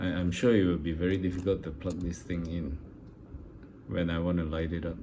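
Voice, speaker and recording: A man's very deep, low voice in a monotone, flat delivery, with audible room echo. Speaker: scale model builder. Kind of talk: casual tutorial / build update. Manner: slow; halting, many fillers.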